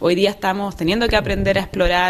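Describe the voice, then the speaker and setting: A woman speaks at a fairly quick pace with a Chilean accent. Her pitch is medium, with ordinary variation. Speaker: geologist and academic. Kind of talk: interview. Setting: on location at award event in Paris.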